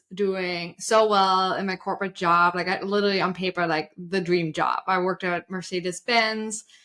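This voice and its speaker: On a very clean recording with a silent background, a woman with a German accent speaks at a medium pitch, her tone bright and sharp and her intonation fairly even. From Germany. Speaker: side hustle coach. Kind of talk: interview.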